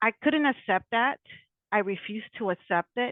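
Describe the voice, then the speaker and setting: A woman with an American accent uses a normal speaking voice at a fairly high pitch, with ordinary pitch variation at a moderate pace. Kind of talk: interview.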